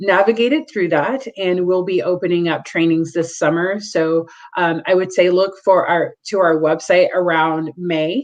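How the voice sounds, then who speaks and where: Fairly low in pitch with ordinary pitch variation, a woman with an ordinary speaking voice talks at a fairly slow pace. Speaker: domestic violence agency representative. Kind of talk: presentation with Q&A.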